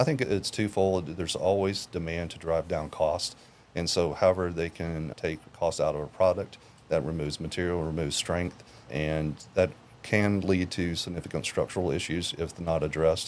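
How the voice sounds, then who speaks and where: A man with an American accent speaks in a very deep, low voice with fairly even intonation. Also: moderate pace. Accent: Southern US, sometimes stronger. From Tennessee. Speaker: sales engineer. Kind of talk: podcast interview.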